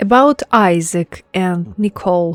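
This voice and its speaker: With a non-native accent and fairly low pitch, a woman speaks at a very slow pace while music plays in the background. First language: not English. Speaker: gaming content creator. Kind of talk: casual talk to camera.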